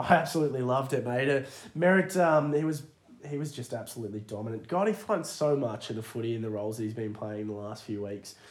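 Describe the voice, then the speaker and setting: Over noticeable background noise, a man with an Australian accent talks at a very fast pace with lively intonation at a medium pitch. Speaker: AFL fantasy podcast host. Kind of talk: casual chat.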